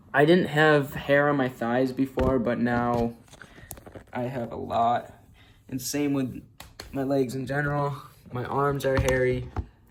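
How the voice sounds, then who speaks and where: Against noticeable background noise, a man speaks at a medium pitch and a fairly slow pace. His intonation is flat and monotone, broken by long, frequent pauses. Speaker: vlogger. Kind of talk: casual video diary. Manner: casual, filler-heavy.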